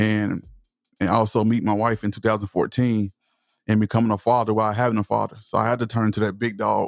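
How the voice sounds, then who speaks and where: A man with a Southern US accent speaks at a very fast pace in a fairly low pitch, monotone and flat, with very even loudness, on a very clean recording with a silent background and a dry, close sound with no echo. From East Texas, US South. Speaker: motivational speaker and voice-over creator. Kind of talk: podcast interview. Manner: passionate.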